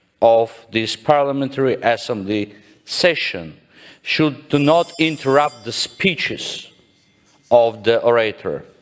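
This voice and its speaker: Speaking at a very slow pace with a non-native accent, a man uses a fairly high pitch and ordinary pitch variation. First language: not English. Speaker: parliamentarian. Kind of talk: parliamentary debate. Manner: formal.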